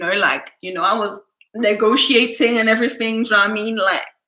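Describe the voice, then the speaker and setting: An animated tone marks this woman's delivery. Her pitch sits fairly high. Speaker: YouTuber. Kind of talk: casual storytime livestream. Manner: naturally loud.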